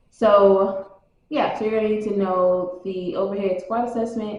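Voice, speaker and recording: A woman at medium pitch, moderate pace and ordinary pitch variation, with audible room echo. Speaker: fitness trainer, exam study vlogger. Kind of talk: casual study-tips vlog.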